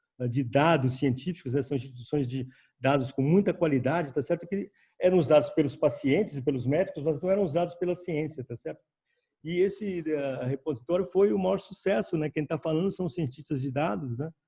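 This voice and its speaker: The voice has a dark, mellow tone, ordinary pitch variation and a somewhat breathy quality. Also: man, fairly high pitch for a man. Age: old. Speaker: senior scientist. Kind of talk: panel talk. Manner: halting.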